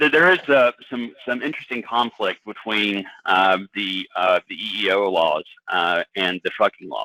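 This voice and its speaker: A man speaks in an unremarkable speaking voice, fairly low-pitched, at a moderate pace with ordinary pitch variation. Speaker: employment lawyer. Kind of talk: webinar presentation. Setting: webinar.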